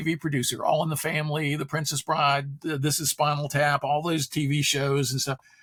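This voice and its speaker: Over noticeable background noise, a man talks in an animated tone at a fairly quick pace and a fairly high pitch. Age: 70s. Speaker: philosopher and author. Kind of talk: podcast interview. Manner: animated storytelling.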